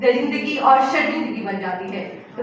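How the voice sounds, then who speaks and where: Raising and projecting her voice, a woman speaks at a high pitch with lively intonation amid noticeable background noise. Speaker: law student. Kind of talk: debate speech. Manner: emotional, powerful, expressive.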